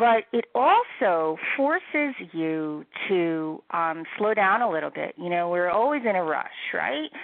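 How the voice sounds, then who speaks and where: Using a normal speaking voice with an American accent, a woman speaks at a fairly low pitch and a fairly slow pace. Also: lively intonation. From US Northeast, Philadelphia area. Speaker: cookbook author. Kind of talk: interview.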